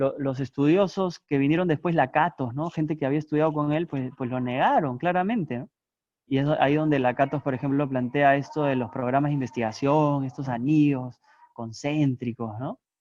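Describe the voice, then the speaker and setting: A man with a normal speaking voice talks at a moderate pace in a fairly high pitch with ordinary pitch variation. The sound is dry and close with no echo, over a quiet background. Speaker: philosophy professor. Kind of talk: lecture.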